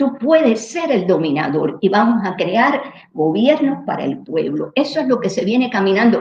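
A woman speaks in a somewhat breathy voice at a medium pitch. Her pitch swings very widely. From Cuba. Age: 70s. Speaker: neuroscientist. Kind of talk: interview. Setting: livestream.

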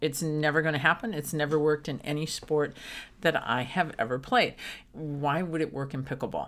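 A woman speaks with a very deep, low voice on a very clean recording with a silent background. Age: 50s. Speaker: pickleball coach and former golf professional. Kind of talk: casual chat.

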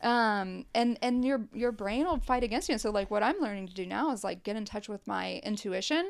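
Recorded very cleanly against a silent background, a woman with an American accent speaks at a moderate pace with hardly any pauses. She has an unremarkable speaking voice, fairly high in pitch, with ordinary pitch variation. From southeast Ohio, Appalachia. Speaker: musician. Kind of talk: casual chat.

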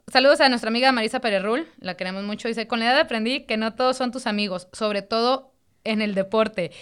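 A woman speaks very fast at a fairly high pitch, her tone animated and her pitch variation ordinary. The recording is very clean, with a silent background. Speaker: podcast co-host. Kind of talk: casual chat.

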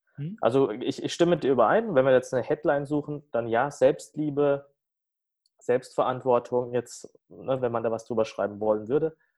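Here a man talks at a moderate pace. His pitch is medium, with ordinary pitch variation. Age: 30s. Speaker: coach and speaker. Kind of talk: interview. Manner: halting, many fillers.

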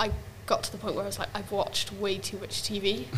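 A woman talks at a fairly quick pace. Noticeable noise sits in the background. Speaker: podcast co-host. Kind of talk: casual chat.

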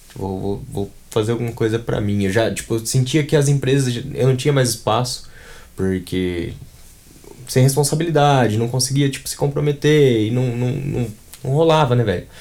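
A man's dark, mellow tone at a medium pitch, moderate pace, and ordinary pitch variation. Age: 20s. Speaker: brand designer and art director. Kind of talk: casual interview chat. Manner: halting, many fillers and repetitions.

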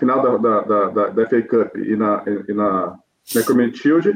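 A man speaks at a fairly slow pace with a Brazilian accent. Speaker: football fan pundit. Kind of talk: casual football debate.

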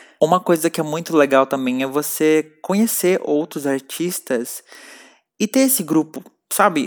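A normal speaking voice at a moderate pace with ordinary pitch variation, dry, close sound with no echo, on a very clean recording with a silent background. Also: man. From Brazil, São Paulo. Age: 20s. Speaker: singer-songwriter and producer. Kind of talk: self-narrated interview answers.

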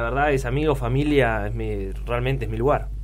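A man speaks in a monotone, flat way. Noticeable background noise and audible room echo fill the recording. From Argentina, Luján (Buenos Aires province). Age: 30s. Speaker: physiotherapist and rugby player. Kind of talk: casual interview. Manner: halting, many fillers and repetitions.

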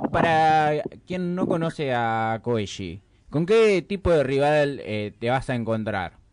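Noticeable background noise sits behind a man who talks at a very slow pace with a fairly high pitch and very wide pitch swings. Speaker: radio host. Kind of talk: casual radio chat.

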